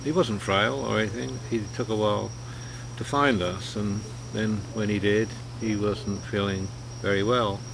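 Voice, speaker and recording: Through noticeable background noise, a man with a fairly low voice and lively intonation speaks with long, frequent pauses. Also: moderate pace. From England. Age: 60s. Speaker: personal video blogger. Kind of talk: casual talk to camera. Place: garden. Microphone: webcam.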